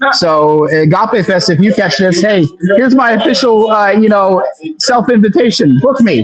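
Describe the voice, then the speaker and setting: Amid noticeable background noise, a man with an American accent speaks at a high pitch and a moderate pace with lively intonation. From Pennsylvania. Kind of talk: podcast interview. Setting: live stream.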